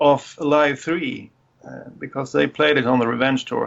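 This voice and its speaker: Speaking with a Swedish accent, a man uses lively intonation at a fairly high pitch and moderate pace. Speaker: podcast panelist. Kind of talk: casual chat.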